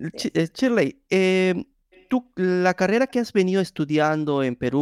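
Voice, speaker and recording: A man at a fairly slow pace, with very wide pitch swings, on a very clean recording with a silent background and a dry, close sound with no echo. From Peru. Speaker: podcast host. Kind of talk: casual interview.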